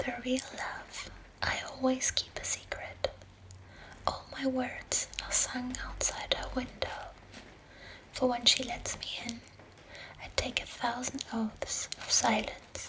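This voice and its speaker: Whispering in a gentle tone, a woman goes very slowly with long, frequent pauses and big swings in loudness, over noticeable background noise. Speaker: ASMR creator. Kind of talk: ASMR poetry reading in bed. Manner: whispered, soft-spoken, gentle.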